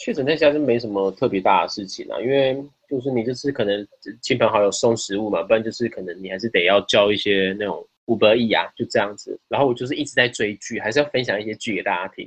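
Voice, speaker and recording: Here a man talks at a very fast pace. His medium-pitched voice shows ordinary pitch variation. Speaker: podcast guest. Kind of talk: casual chat. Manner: halting, repeats words.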